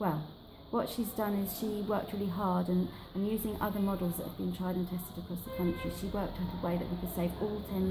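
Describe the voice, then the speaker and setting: Soft-spoken yet passionate in tone, a woman talks at a fairly quick pace with music in the background. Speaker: library campaigner. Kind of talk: interview answer. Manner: soft-spoken, passionate.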